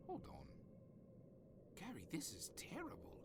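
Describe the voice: A man's put-on character voice, high for a man, with vocal fry, very wide pitch swings and a fairly slow pace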